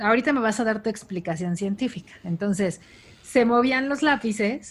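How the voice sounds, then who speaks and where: A woman speaks at a moderate pace in a fairly high, somewhat breathy voice. Her pitch variation is ordinary. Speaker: podcast co-host. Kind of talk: casual chat.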